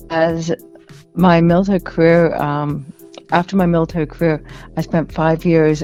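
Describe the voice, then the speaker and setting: Fairly quick, monotone speech in a Canadian accent, flat in intonation, over music in the background. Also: woman. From Canada. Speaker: military veteran and author. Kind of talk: radio interview. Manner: halting.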